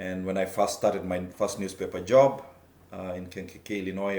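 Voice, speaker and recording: Very deep, low male speech at a fairly quick pace, with audible room echo. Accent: Kenyan. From Kenya. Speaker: taekwondo instructor and former reporter. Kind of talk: personal testimony. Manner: halting, many fillers.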